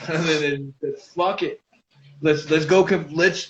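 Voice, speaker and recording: At a moderate pace, a man with a plain, everyday voice speaks with fairly even intonation and a fairly high pitch. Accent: American. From US Southwest, Albuquerque, New Mexico. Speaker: cannabis lifestyle influencer. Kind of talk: casual chat.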